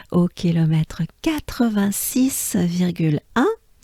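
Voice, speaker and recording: A woman's dark, mellow, somewhat breathy voice of medium pitch, very slow in pace with lively intonation, in a dry, close sound with no echo. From France. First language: French. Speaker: pronunciation teacher. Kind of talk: tutorial.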